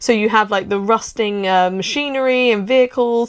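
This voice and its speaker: The voice is a woman's. Her intonation is fairly even. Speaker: visitor vlogger. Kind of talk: casual vlog chat. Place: tunnel cave. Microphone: phone near.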